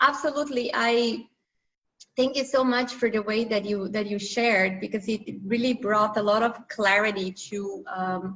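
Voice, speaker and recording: A woman with a non-native accent, a fairly high pitch, ordinary pitch variation, and a moderate pace. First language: not English. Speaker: interviewer. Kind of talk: casual chat.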